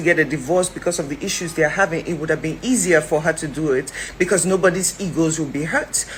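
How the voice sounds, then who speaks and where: A woman speaks in an animated tone amid noticeable background noise. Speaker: commentator. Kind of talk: opinion vlog. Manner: fast.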